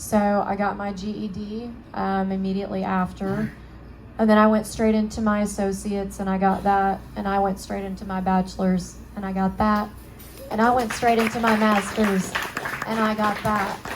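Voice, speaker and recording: At a moderate pace, a woman speaks at medium pitch. Her intonation is monotone and flat, with audible room echo around her. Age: 20s. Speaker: spinal cord injury survivor and counselor. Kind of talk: testimony. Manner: hesitant, many fillers.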